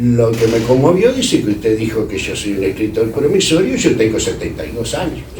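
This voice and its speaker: Noticeable background noise and audible echo from the room accompany a man's speech. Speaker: literary critic. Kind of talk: speech at a tribute event. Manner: hesitant, many fillers.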